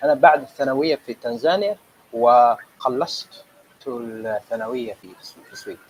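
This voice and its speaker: Dry and close with no echo but with noticeable background noise, a man with a Somali accent speaks at a medium pitch, his loudness swinging widely. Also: ordinary pitch variation. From Sweden and Tanzania, Somali family. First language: Somali (speaking Arabic). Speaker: Arabic language student. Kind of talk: interview. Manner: halting.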